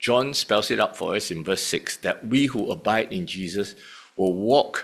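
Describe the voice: Just plain reading aloud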